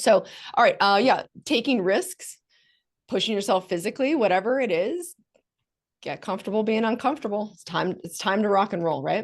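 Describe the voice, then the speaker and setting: A woman's fairly high-pitched, animated voice, with lively intonation, big swings in loudness and long, frequent pauses against a quiet background. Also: fairly quick pace. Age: 40s. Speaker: recruitment agency founder and speaker. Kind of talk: webinar presentation. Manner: fast.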